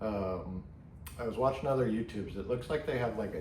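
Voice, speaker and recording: Mumbling at a medium pitch, a man keeps a fairly even intonation. Audible room echo and noticeable background noise surround him. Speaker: pipe tobacco reviewer. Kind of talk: casual product review vlog. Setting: garage.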